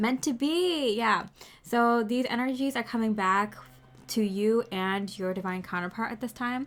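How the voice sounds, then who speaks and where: The background is silent and the recording very clean. The delivery is fairly slow, with ordinary pitch variation. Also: woman. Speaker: tarot reader. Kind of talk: tarot reading. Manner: loud.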